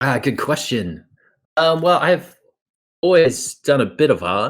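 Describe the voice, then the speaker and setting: A man with an Australian accent, vocal fry and lively intonation, at a fairly slow pace. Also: fairly high pitch for a man. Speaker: landscape painter. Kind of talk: interview. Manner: halting, many fillers and repeats.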